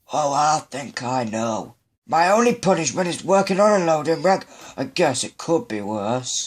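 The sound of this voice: In a very clean recording with a silent background, a man does a cartoonish character voice, fairly high-pitched, with very wide pitch swings at a moderate pace.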